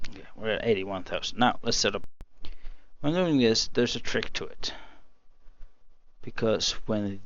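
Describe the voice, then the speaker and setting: A man with a non-native accent speaks in a room with audible echo. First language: not English. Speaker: gaming youtuber. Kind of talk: gameplay tutorial. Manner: halting, many fillers.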